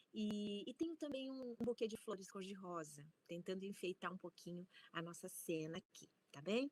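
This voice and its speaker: Lively intonation at a moderate pace, in a dry, close sound with no echo. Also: woman, medium pitch for a woman. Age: 60s. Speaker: university researcher and storytelling scholar. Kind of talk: conference talk.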